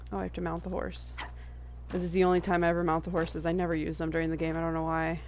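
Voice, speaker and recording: Very fast speech from a woman amid audible room echo. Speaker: video game streamer. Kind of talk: casual gameplay commentary.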